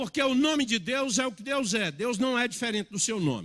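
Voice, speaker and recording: A man's high, bright, sharp voice with lively intonation, on a very clean recording with a silent background. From Minas Gerais, Brazil (born in Bahia). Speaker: pastor. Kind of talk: sermon.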